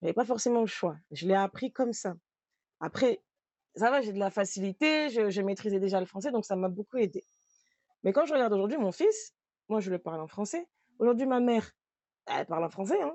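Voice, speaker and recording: Speaking at a fairly quick pace with lively intonation, a woman with a fairly high pitch leaves long, frequent pauses. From France and Mayotte. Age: 30s. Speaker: trainer. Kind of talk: testimony. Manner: casual, hesitant with fillers.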